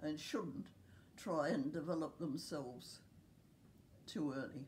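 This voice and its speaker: Audible room echo surrounds a somewhat breathy woman speaking with a New Zealand accent. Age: 90s. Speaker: care home resident. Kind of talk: interview.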